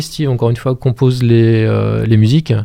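A man's voice at medium pitch. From France, Maine-et-Loire (Montreuil-Bellay area). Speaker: musician and cultural programme manager. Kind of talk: radio interview. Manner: halting.

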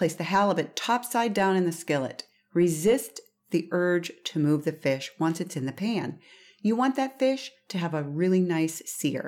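A woman with an unremarkable speaking voice talks at a fairly low pitch with lively intonation. The recording is very clean, with a silent background. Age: 50s. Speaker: seafood podcast host. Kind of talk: recipe instructions; solo podcast monologue. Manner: casual, chatty.

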